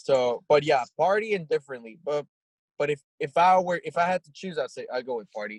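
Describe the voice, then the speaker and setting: With a Spanish accent, a man talks at a fairly quick pace in a fairly high pitch, his intonation lively and his loudness swinging widely, all in a dry, close sound with no echo. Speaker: rock band singer and lyricist. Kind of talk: casual interview.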